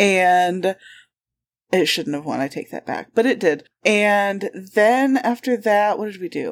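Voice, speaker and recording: A woman with a Michigan accent, medium pitch and fairly slow pace, on a very clean recording with a silent background. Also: ordinary pitch variation. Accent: Michigan, US Upper Midwest. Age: 30s. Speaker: podcast co-host. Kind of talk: casual chat.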